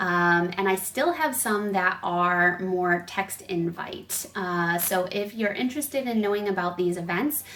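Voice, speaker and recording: A woman talks with a normal speaking voice. Her pitch is medium and her pace fairly slow. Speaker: spiritual coach. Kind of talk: casual vlog message.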